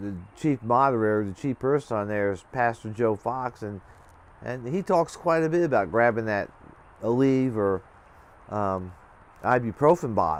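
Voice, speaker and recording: With lively intonation and long, frequent pauses, a man speaks at a moderate pace and a medium pitch. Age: 60s. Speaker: prepping and ham radio vlogger. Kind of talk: casual monologue. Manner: halting, repetitive.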